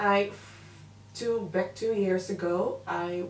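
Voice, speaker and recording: With noticeable background noise and audible room echo, the intonation stays fairly even. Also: woman. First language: Dutch. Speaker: makeup artist and beauty vlogger. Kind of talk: makeup tutorial with casual chat. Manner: hesitant, filler-heavy.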